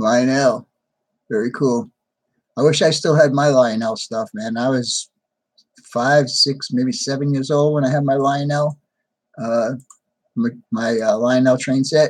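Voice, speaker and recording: With a New York accent, the speech goes at a fairly slow pace with long, frequent pauses and ordinary pitch variation. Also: man, medium pitch for a man. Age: 60s. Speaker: hobby channel host, model trains. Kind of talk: live stream chat with viewers. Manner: casual, conversational.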